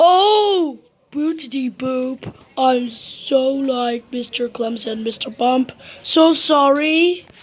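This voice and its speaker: A woman speaks very slowly in a high, put-on character voice. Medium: read story. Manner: silly, apologetic.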